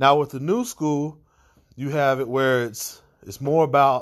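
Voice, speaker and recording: A man with a medium pitch uses a normal speaking voice at a fairly slow pace. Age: 30s. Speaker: podcast host. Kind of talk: solo monologue podcast. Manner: casual, many filler words.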